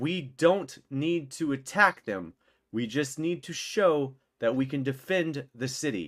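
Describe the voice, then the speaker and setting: A man uses a put-on character voice that is loud and booming. He goes at a fairly slow pace with lively intonation. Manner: booming, commanding.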